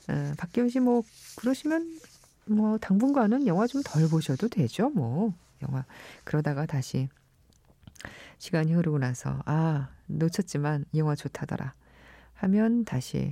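A very slow pace with long, frequent pauses. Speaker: radio host. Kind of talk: radio show hosting. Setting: radio studio.

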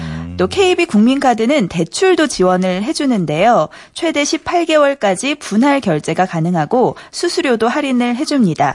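A woman talks at a fairly slow pace in a high pitch, her voice making very wide pitch swings. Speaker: news reporter. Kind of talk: news segment reading. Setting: radio studio.

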